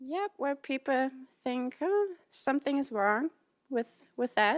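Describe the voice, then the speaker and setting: Speaking very slowly with lively intonation, a woman with a high pitch and a German accent is heard on a very clean recording with a silent background. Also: dry, close sound with no echo. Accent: German accent, noticeable. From Germany. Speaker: audience member. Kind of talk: question to a talk show host. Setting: TV studio with audience.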